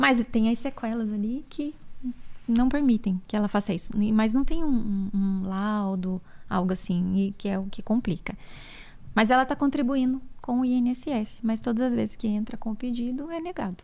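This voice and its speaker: With a somewhat breathy voice and a fairly high pitch, a woman speaks at a moderate pace with ordinary pitch variation on a very clean recording with a silent background. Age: 40s. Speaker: podcast host, physiotherapist and breast cancer survivor. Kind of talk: casual podcast conversation.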